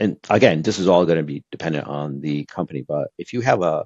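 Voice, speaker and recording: The man's intonation is lively, and the sound is dry and close with no echo. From Brazil. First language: Portuguese. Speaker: e-commerce executive. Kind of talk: podcast interview. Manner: conversational with frequent fillers.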